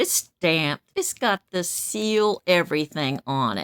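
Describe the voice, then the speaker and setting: A woman speaks fairly slowly in an animated tone at a medium pitch, her voice making very wide pitch swings in a dry, close sound with no echo. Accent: Midwestern US. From Kansas City, Kansas. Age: 70s. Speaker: vlogger. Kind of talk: casual monologue. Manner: loud.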